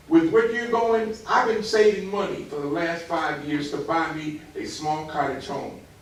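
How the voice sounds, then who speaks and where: A speaker with an American accent and lively intonation talks at a fairly slow pace amid audible room echo and noticeable background noise. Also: man. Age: 80s+. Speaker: resident speaking at city meeting. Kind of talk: heated debate. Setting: city hall meeting. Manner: animated.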